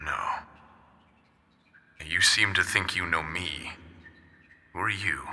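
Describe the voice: A man uses a put-on character voice with a bright, sharp tone and a low pitch. He talks at a slow pace with ordinary pitch variation.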